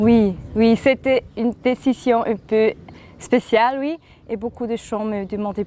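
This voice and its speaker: Speaking very slowly with a slight Swiss German accent, a woman has a dark, mellow tone and fairly even intonation. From German-speaking Switzerland, Thurgau. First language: Swiss German (speaking French). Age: young. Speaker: singer-songwriter. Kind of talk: interview. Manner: halting, hesitant.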